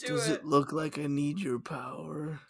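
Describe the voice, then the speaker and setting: A raspy put-on character voice at a low-to-middle pitch. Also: moderate pace. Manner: cocky.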